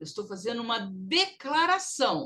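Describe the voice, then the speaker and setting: A woman in a northeastern US accent, her pitch swinging very widely. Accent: northeastern US accent when speaking English. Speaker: English teacher. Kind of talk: recorded online lesson.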